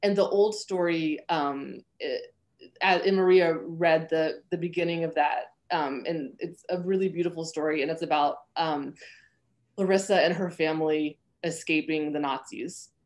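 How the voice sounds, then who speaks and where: The speaker has a plain, everyday voice. The intonation is fairly even and the pace moderate. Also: woman, fairly low pitch for a woman. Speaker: novelist and professor. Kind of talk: interview. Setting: video call.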